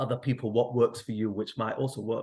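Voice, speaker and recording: This man speaks with a Mancunian accent and ordinary pitch variation. The background is quiet. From northern England, Manchester. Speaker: therapist. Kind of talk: online event talk. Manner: gentle, hesitant with fillers.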